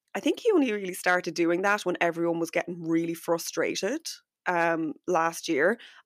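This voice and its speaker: A woman with an unremarkable speaking voice and a fairly low pitch talks at a fairly quick pace, the sound dry and close with no echo on a very clean recording with a silent background. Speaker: podcast host and business coach. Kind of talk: solo podcast episode, chatty and instructional. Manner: warm, friendly, conversational.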